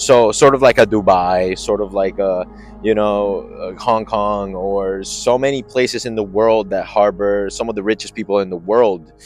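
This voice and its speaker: A man speaks at a moderate pace with a Spanish accent and a fairly low pitch while music plays in the background. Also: fairly even intonation, hardly any pauses. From Colombia. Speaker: spiritual coach and YouTuber. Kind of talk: casual vlog talk to camera. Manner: halting with frequent fillers.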